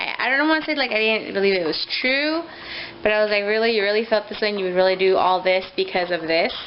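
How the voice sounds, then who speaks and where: Over noticeable background noise, a woman talks at a very fast pace with lively intonation. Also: medium pitch for a woman. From US, moved from Mexico City at two and a half. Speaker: vlogger and young mother. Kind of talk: casual vlog monologue. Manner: halting, many fillers; loud.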